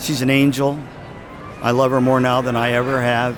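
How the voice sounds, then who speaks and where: With music in the background and audible room echo, a man speaks at a medium pitch. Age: 70s. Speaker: music educator and speaker. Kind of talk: casual chat.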